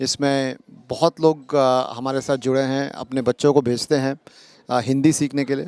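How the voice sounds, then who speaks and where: Speaking with a non-native accent, a man holds a medium pitch in monotone, flat intonation, the sound dry and close with no echo. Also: very clean recording, silent background. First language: not Hindi (speaking Hindi). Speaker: community organization member. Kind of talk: interview. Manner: halting, many fillers.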